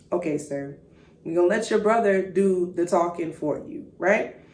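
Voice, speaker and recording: An animated tone and lively intonation from a woman at a moderate pace, with audible room echo. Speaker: podcast host and faith speaker. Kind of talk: faith podcast monologue.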